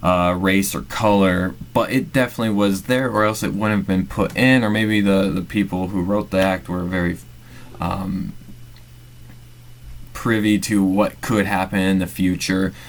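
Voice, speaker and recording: Through noticeable background noise, a man talks at a moderate pace and a fairly low pitch with ordinary pitch variation. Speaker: MBA student presenter. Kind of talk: narrated class presentation. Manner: halting, many fillers.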